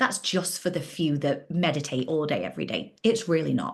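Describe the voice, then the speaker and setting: A woman speaks at a fairly low pitch with some vocal fry. Her pace is moderate and her pitch varies in an ordinary way. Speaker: life coach. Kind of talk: online workshop. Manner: casual.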